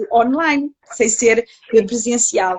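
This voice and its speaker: Speaking with a European Portuguese accent, a woman talks at a very slow pace. Her pitch variation is ordinary. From Portugal. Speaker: psychologist researcher. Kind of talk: online interview. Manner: hesitant with many fillers.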